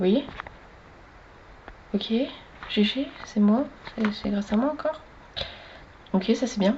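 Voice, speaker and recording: Soft-spoken delivery at a very slow pace, long, frequent pauses, and noticeable background noise. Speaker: gaming streamer. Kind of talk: gameplay commentary. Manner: animated.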